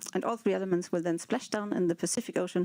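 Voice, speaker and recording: Over noticeable background noise, a woman of medium pitch speaks at a very fast pace. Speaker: space agency launch engineer. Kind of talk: live broadcast explanation.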